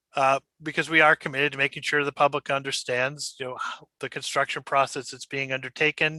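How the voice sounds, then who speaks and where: With hardly any pauses, a man talks at a fairly quick pace at a fairly high pitch in a bright, sharp tone. His intonation is monotone and flat, his loudness swings widely, and the sound is dry and close with no echo. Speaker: developer representative answering questions. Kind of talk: public meeting presentation. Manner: fast; hesitant with fillers.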